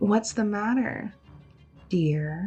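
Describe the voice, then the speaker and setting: With faint music in the background, a put-on character voice drawls at a fairly high pitch. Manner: drawling, sweetly mocking.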